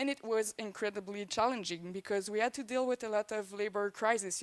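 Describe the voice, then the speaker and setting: A woman with a Quebec accent, fairly high-pitched and fairly even in intonation, at a fairly quick pace with hardly any pauses, in a dry, close sound with no echo and a very clean recording with a silent background. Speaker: swine production consultant. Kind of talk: conference presentation.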